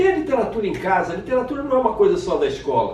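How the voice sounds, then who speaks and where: A man talks at a fairly quick pace, his pitch swinging very widely. Room echo is audible, and there is noticeable background noise. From Brazil, Rio de Janeiro. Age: 60s. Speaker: children's author and literature teacher. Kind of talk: casual self-presentation to camera.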